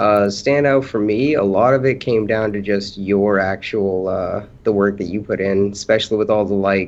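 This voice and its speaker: Pausing hardly at all, a man with fairly low pitch talks at a moderate pace with fairly even intonation. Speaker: rapper. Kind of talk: casual chat. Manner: soft-spoken.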